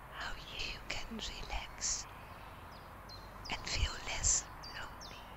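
Someone whispers at a very slow pace, with long and frequent pauses. Noticeable background noise runs underneath. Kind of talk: ASMR whisper recorded outdoors. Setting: outdoors. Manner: whispered.

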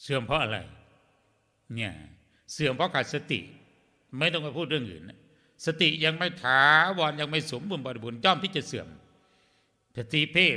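Fairly high in pitch, a man speaks with a bright, sharp tone, vocal fry and lively intonation. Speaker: Buddhist monk. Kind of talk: sermon. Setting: temple.

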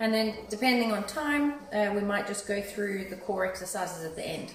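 A woman speaks with ordinary pitch variation over light background noise. Some room echo can be heard. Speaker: fitness instructor. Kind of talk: class instruction. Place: gym. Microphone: phone near.

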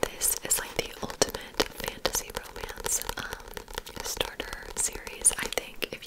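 The speaker, a woman, talks in a whisper. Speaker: ASMR creator. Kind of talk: ASMR bookstore checkout roleplay, chatty talk to the listener. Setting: studio, typing and book sounds. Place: home room. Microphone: studio mic.

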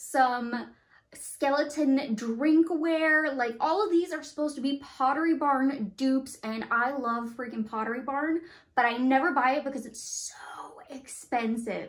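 A woman's high voice at a fairly slow pace, with ordinary pitch variation over a quiet background. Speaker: lifestyle vlogger. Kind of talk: casual vlog chat. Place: home room. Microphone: phone near.

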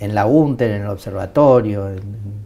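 A man speaks fairly low and fairly slowly, with ordinary pitch variation. His tone is dark and mellow, and somewhat breathy. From Argentina. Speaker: TV show host. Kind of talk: interview. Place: studio. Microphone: lapel.

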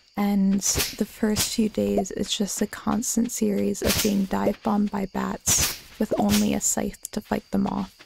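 Soft-spoken and calm in tone, the voice moves at a fairly slow pace with very even loudness and hardly any pauses, in a dry, close sound with no echo and music in the background. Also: woman. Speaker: gaming video creator. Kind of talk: relaxed gameplay commentary. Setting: home recording, thin walls. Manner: soft-spoken, kept quiet for neighbors; calm, chill. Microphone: mic recently had issues, may be quiet.

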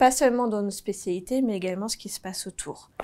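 This woman has a dark, mellow tone. Her pitch varies in an ordinary way. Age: 30s. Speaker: marketing team manager. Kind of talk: corporate recruitment video interview. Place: office. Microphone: lapel.

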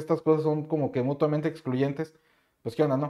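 A man's fairly high voice against a quiet background. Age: 30s. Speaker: YouTuber and CAD instructor; course creator, youtuber. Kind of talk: casual vlog monologue. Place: home room.

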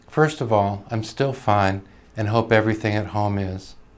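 A man speaks at medium pitch and a moderate pace in an ordinary speaking voice. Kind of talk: reading aloud of a soldier's wartime letters. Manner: calm, earnest, steady reading; sincere, measured, solemn.

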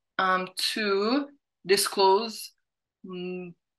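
At a very slow pace, a woman speaks at medium pitch with a fairly bright tone and fairly even intonation.

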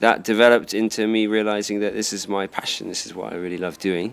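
A man's fairly low pitch in a southern English accent, with monotone, flat intonation. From southern England, Dorset; southern England. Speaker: karate instructor. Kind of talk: interview. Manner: hesitant, many fillers.

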